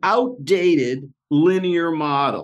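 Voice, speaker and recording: Over a quiet background, a man with an unremarkable speaking voice talks with lively intonation. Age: 60s. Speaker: podcast host. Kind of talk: casual conversation.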